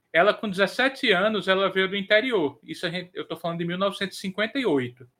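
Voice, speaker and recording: A man talks with a high pitch. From Northeast Brazil. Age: 40s. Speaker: podcast co-host and editor. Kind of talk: casual chat. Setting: live stream.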